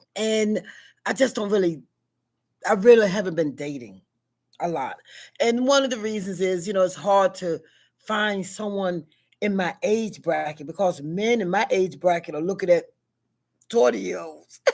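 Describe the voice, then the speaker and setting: With a Southern US accent, a woman at medium pitch talks at a moderate pace with lively intonation and long, frequent pauses. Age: 60s. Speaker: vlogger. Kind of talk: casual monologue. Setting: at school.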